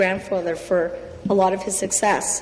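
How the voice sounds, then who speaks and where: A woman with a Canadian accent speaks at a medium pitch. The recording carries noticeable background noise and audible room echo. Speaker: provincial legislator. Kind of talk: legislative speech. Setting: legislature chamber. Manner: halting.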